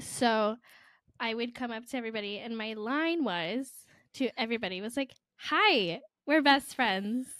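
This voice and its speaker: An animated voice with a bright, sharp tone breaks into long, frequent pauses on a very clean recording over a silent background. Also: woman, fairly high pitch for a woman, ordinary pitch variation, moderate pace. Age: 20s. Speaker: podcast co-host. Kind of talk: casual chat.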